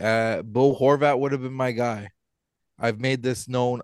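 With a Canadian accent and a normal speaking voice, a man talks at a medium pitch and moderate pace with fairly even intonation, the sound dry and close with no echo against a quiet background. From Ontario, Canada. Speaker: podcast co-host, hockey game official. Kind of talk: casual chat.

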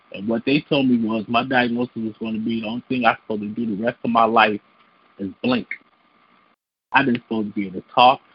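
A man with a Chicago accent talks very fast in a flat monotone at medium pitch, with long, frequent pauses. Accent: Chicago American English.

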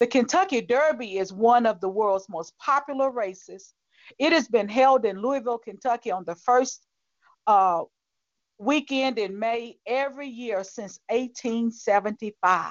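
An unremarkable speaking voice with an American accent goes at a fairly slow pace with ordinary pitch variation. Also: woman, fairly high pitch for a woman. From US South. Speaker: pastor. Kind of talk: sermon.

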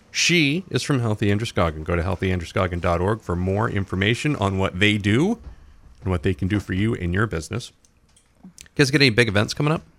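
At a fairly quick pace, a man talks in an ordinary speaking voice, fairly low in pitch, with lively intonation. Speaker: radio host. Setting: radio studio. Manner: brisk, upbeat, chatty, polished broadcaster delivery.

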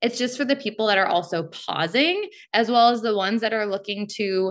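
Using a plain, everyday voice, a woman talks at a moderate pace with ordinary pitch variation. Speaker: brewery representative. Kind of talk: casual interview.

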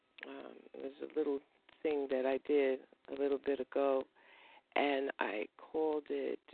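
A woman is talking here. Her accent is American. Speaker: poet. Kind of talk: poetry performance.

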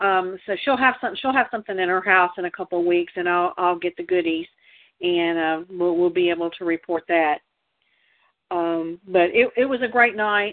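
A woman talks at a moderate pace with a medium pitch. It is an ordinary speaking voice with ordinary pitch variation. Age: 60s. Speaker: political activist co-host. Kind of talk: casual chat. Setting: call-in show.

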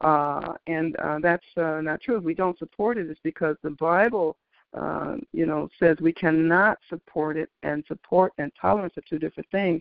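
A woman has an ordinary speaking voice, fairly low in pitch, with ordinary pitch variation. She talks at a moderate pace with hardly any pauses. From Detroit, Michigan. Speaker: author. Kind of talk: interview. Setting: phone call.

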